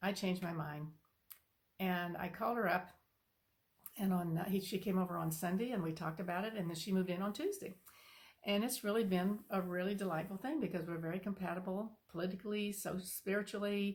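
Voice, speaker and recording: A woman talks at a fairly quick pace. Her voice is somewhat breathy, with fairly even intonation. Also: medium pitch for a woman. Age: 70s. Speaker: spiritual channel host. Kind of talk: casual personal talk to camera. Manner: halting, many fillers.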